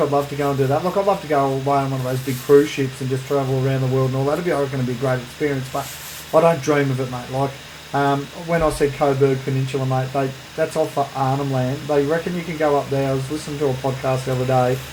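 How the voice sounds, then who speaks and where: At a very fast pace and in a flat monotone, someone with an Australian accent speaks amid noticeable background noise and audible room echo. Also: man, fairly high pitch for a man. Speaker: podcast co-host. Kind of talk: casual chat. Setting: separate rooms, remote recording.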